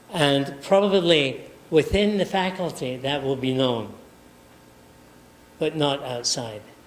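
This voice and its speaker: A man at a very slow pace with long, frequent pauses, fairly high pitch, lively intonation and audible room echo. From Scotland. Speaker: professor. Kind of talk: lecture. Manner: halting.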